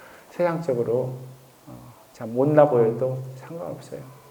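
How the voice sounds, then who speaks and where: A man speaks very slowly at a medium pitch with fairly even intonation. There is audible room echo and noticeable background noise. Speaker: missionary. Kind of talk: testimony. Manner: conversational, with frequent fillers.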